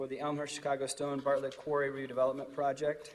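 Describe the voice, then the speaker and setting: Noticeable background noise behind a man's voice, pitched fairly high. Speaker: village board president. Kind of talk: public meeting chairing.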